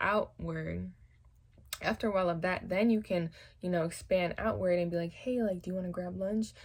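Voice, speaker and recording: A soft-spoken woman's somewhat breathy voice, fairly low in pitch, with fairly even intonation on a very clean recording with a silent background. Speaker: hairstylist. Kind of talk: casual talk to camera.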